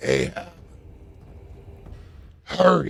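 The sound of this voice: A man puts on a raspy, gruff character voice.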